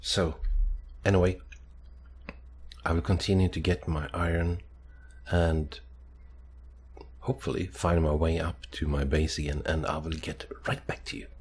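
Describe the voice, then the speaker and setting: Speaking at a moderate pace with long, frequent pauses, a man uses a very deep, low pitch with ordinary variation and vocal fry. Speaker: gaming youtuber. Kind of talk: gameplay commentary. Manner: hesitant, many fillers.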